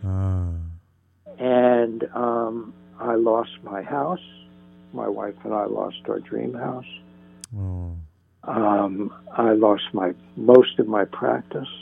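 At a very slow pace with long, frequent pauses, a man with an American accent speaks at a fairly low pitch. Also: ordinary pitch variation. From northern New Jersey. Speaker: spiritual psychotherapist. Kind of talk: interview. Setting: phone call.

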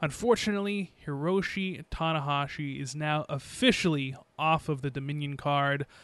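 A man with an ordinary speaking voice, fairly high in pitch, with ordinary pitch variation, at a moderate pace with hardly any pauses, over a quiet background. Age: 20s. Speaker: wrestling podcast host, former radio worker. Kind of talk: casual chat.

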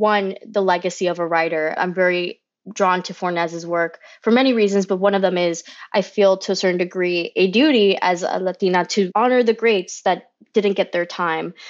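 Her pitch is medium, and she has a plain, everyday voice. The woman talks at a moderate pace with fairly even intonation. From Florida, US (Kissimmee), Cuban American family. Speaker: theater director. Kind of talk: casual interview.

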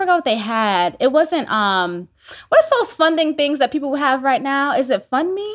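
A woman with an American accent and a high pitch, at a moderate pace, with very wide pitch swings. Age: 30s. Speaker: entrepreneur and spiritual teacher. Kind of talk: interview.

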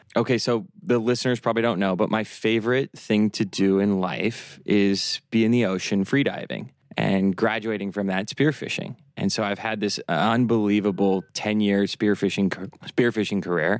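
A man with an American accent speaks at a moderate pace, with hardly any pauses, in an unremarkable speaking voice. Fairly low in pitch with fairly even intonation, he is heard in a very clean recording with a silent background. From US Midwest. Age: 30s. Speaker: real estate developer. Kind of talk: casual chat.

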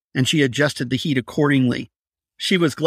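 Quiet background behind a natural reading voice.

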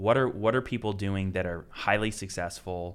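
A man talks in an American accent with a fairly low pitch and fairly even intonation. It is an unremarkable speaking voice. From Oregon. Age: 30s. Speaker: company president and podcast host. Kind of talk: casual chat.

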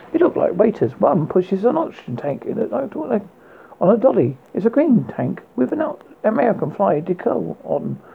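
A man with a high voice, vocal fry and a husky, rough edge speaks at a moderate pace with big pitch swings.

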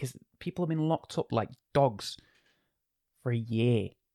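Recorded dry and close with no echo, this animated voice with an English accent moves at a fairly quick pace and ordinary pitch variation. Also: man. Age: 20s. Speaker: DJ and podcast host. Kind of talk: casual monologue. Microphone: new expensive microphone.

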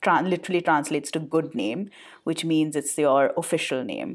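A woman with an Indian accent at a very deep, low pitch, on a very clean recording with a silent background. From India, Calcutta. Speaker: podcast co-host. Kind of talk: casual chat.

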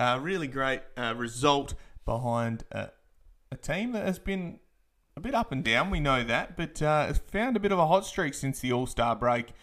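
In an Australian accent, a man speaks with lively intonation at a moderate pace. His pitch is fairly high. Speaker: basketball podcast host. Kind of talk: postgame podcast recap. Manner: filler-heavy, casual.

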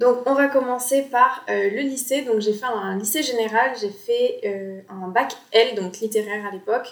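A woman speaks at a fairly slow pace with a high pitch and fairly even intonation. Noticeable background noise runs underneath. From Bordeaux, France. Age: 20s. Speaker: graphic designer and podcast host. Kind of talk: casual solo podcast talk. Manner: relaxed, informal.

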